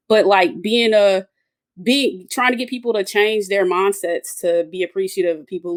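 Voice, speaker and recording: A woman with an Atlanta accent, moderate pace and ordinary pitch variation, in a dry, close sound with no echo. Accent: Atlanta Southern. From US South, Atlanta. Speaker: engineer and women's soccer supporter. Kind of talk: casual roundtable chat.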